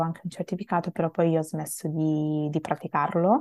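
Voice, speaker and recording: A woman talks at a fairly quick pace with fairly even intonation and a fairly low pitch. Her tone is dark and mellow, and the sound is dry and close with no echo. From Italy. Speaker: multilingual language learner. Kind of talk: interview. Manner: hesitant, with fillers.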